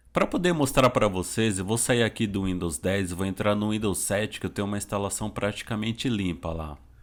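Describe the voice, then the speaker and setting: A man talks at a fairly quick pace with hardly any pauses, in a normal speaking voice. His pitch is fairly low with ordinary variation, and the recording is very clean with a silent background. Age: 30s. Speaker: computer teacher for the visually impaired. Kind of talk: tutorial. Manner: casual.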